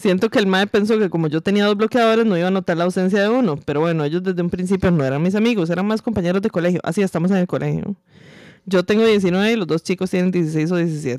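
A woman talks very fast in a medium pitch, keeping her loudness very even, with ordinary pitch variation and a dry, close sound with no echo. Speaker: podcast co-host. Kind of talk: casual chat.

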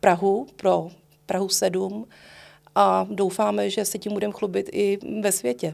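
On a very clean recording with a silent background, a woman of medium pitch speaks at a moderate pace with fairly even intonation. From Prague (Letná, Prague 7). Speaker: music librarian. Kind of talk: interview. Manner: halting.

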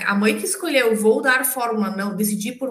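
The intonation is lively and the pace moderate. Room echo can be heard. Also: woman. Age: 40s. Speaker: parent. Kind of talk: casual interview.

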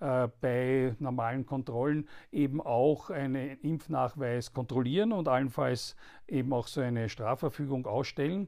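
In a very clean recording with a silent background, a man with an Austrian accent speaks at a fairly slow pace. His medium-pitched voice has a dark, mellow tone and fairly even intonation. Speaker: politician and podcast host. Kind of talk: political commentary monologue. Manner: halting, many filler sounds.

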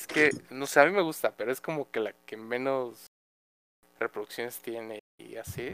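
With a Mexican accent, a man talks at a moderate pace and medium pitch, with ordinary pitch variation. The sound is dry and close, with no echo. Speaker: student, podcast guest. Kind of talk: casual chat.

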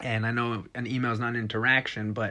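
A man with an American accent at a medium pitch and moderate pace, against a quiet background. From Texas. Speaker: podcast host, business owner, Marine veteran. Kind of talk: motivational podcast monologue. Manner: animated, laughs often.

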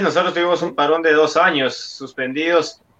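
A bright, sharp tone carries speech delivered at a moderate pace. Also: man. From Guatemala. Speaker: football pundit. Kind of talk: sports talk show.

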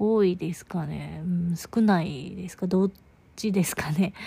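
In a very clean recording with a silent background, a woman's dark, mellow tone comes through somewhat breathy. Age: 20s. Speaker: podcaster. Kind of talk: casual monologue. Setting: in bed. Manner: soft-spoken.

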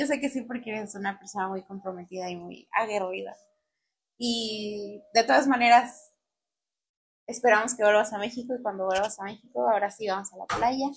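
A woman with a Mexican accent, fairly high in pitch, with ordinary pitch variation, big swings in loudness and a moderate pace. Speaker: podcast host. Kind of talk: casual interview chat.

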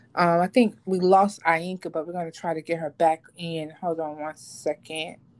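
In an unremarkable speaking voice, a woman talks at a fairly slow pace with a fairly low pitch and fairly even intonation. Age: 40s. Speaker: podcast host. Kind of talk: casual chat.

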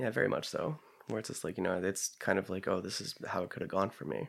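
Fairly quick and lively in intonation, a man talks at a fairly low pitch with an American accent. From Pennsylvania, rural. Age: 30s. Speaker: creative writer and former English teacher. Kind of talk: casual chat. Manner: halting.

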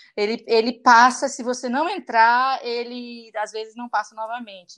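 A woman talks at a moderate pace over a quiet background, her pitch fairly high and her intonation fairly even. She has an ordinary speaking voice. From Brazil, interior of Goiás. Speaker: English teacher. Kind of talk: interview.

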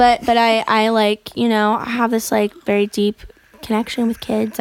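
The speaker has an American accent. The sound is dry and close, with no echo. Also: woman. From Florida. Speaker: musician. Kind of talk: casual chat. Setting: studio.

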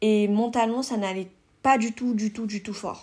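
On a very clean recording with a silent background, a somewhat breathy voice with a dark, mellow tone speaks at a very slow pace. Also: woman. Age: 20s. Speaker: content creator, podcast host. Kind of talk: casual solo podcast monologue. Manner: hesitant, many fillers.

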